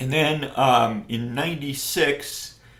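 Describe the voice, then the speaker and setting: With an American accent and fairly even intonation, a man talks amid audible room echo. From upstate New York. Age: 60s. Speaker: professor. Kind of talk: interview. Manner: hesitant, many fillers.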